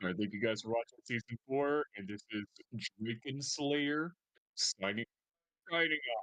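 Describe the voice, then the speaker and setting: A man's medium-pitched voice at a moderate pace, with ordinary pitch variation, long, frequent pauses, and a dry, close sound with no echo. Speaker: former stand-in co-host. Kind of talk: casual chat.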